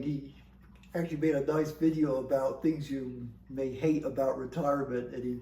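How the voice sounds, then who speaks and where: Somewhat breathy and dark, mellow in tone, a man's voice holds a flat, monotone intonation. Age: 60s. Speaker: scientist working on satellite instrument data. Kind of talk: casual talk to camera.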